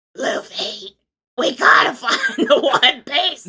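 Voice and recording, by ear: In a put-on character voice, high-pitched and raspy, the speaker talks at a very slow pace.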